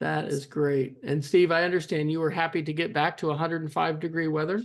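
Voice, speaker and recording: With an unremarkable speaking voice, a man talks fairly quickly at a fairly high pitch, his intonation fairly even. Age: 50s. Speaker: family oral history interviewer. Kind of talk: casual family interview. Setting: video call.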